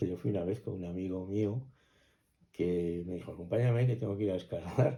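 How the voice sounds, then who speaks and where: A man with a very deep, low pitch and a dark, mellow tone speaks at a moderate pace with ordinary pitch variation. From Spain, Cuenca (Castilla-La Mancha). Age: 60s. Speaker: interviewee recalling village life. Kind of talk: oral history interview. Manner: hesitant, with frequent fillers and restarts.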